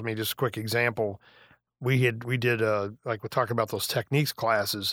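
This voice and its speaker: A man speaks at a fairly quick pace in a medium pitch with fairly even intonation, his voice dry and close with no echo on a very clean recording over a silent background. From western Illinois, rural farm. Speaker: retired high school band director. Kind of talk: casual interview. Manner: halting, many restarts.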